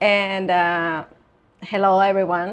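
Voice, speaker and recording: A woman speaks with a Spanish accent. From Venezuela. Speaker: yoga teacher and beauty pageant titleholder. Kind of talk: interview. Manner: halting.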